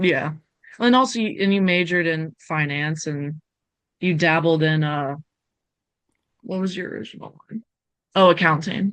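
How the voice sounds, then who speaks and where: This woman speaks at a moderate pace in a fairly low pitch, with ordinary pitch variation and long, frequent pauses. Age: 20s. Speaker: university student. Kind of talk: casual interview.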